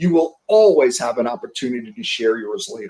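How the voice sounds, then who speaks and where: Speaking with a New York accent, a man talks at a fairly quick pace and a fairly high pitch, with very wide pitch swings. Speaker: sales leadership coach. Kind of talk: interview on a live stream. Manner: fast.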